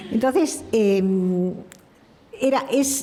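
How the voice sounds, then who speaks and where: Over noticeable background noise, a woman with a high pitch speaks with a French accent and lively intonation. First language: French (speaking Spanish). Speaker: speaker at a heritage conference. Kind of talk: conference talk. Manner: halting.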